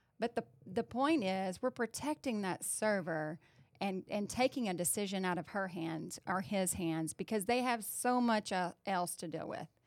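A woman with a plain, everyday voice speaks at a moderate pace and medium pitch with lively intonation. The recording is very clean with a silent background and a dry, close sound with no echo. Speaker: restaurant franchise executive. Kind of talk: casual business discussion.

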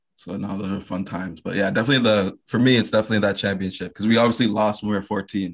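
A man with a Canadian accent talks very fast in a fairly low pitch, his intonation fairly even over a quiet background. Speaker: podcast host. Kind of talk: casual interview.

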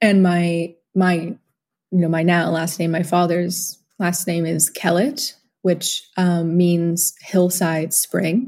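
Her delivery is very slow. The woman's voice has a somewhat breathy quality. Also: fairly low pitch for a woman. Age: 20s. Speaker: organic livestock farmer and birth attendant. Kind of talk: casual chat.

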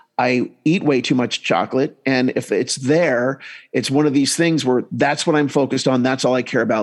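A man speaks in a plain, everyday voice with an American accent. His pitch is fairly high and his pace moderate. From US Northeast. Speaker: hypnotist and comedian. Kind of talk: casual interview chat. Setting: video call, remote from host.

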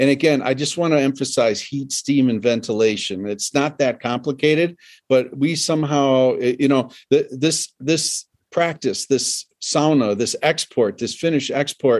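A man with a plain, everyday voice, fairly high pitch and ordinary pitch variation at a moderate pace over a quiet background. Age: 60s. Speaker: sauna builder and expert. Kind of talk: casual interview chat. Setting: video call from a home with a sauna.

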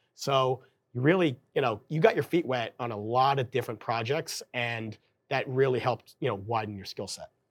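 A man with an American accent at a moderate pace, a plain, everyday voice, on a very clean recording with a silent background. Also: medium pitch for a man, ordinary pitch variation, big swings in loudness. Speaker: baseball stadium in-game operations director. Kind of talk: casual interview.

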